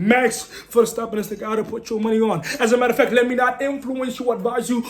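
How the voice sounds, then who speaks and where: Over noticeable background noise, a man speaks loudly and very fast at an extremely high pitch, his tone animated and his pitch variation ordinary. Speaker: sports commentary channel host. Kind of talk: casual sports opinion monologue.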